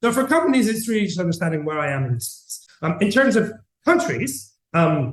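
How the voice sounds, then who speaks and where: A man speaks with a Greek accent at a fairly quick pace. His pitch swings very widely. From Greece. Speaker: tech company CEO. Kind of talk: interview. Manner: halting, many fillers and repetitions.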